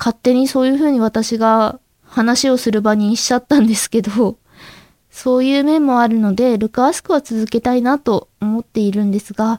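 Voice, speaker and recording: Quiet woman's voice, dark and mellow in tone, fairly even intonation, dry, close sound with no echo. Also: fairly high pitch for a woman. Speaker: amateur voice actress and podcast host. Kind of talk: solo podcast talk. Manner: slow.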